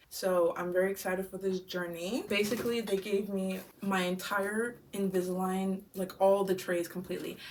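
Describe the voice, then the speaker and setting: A woman's medium-pitched, monotone voice at a moderate pace with hardly any pauses, over noticeable background noise. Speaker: vlogger. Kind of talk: casual vlog.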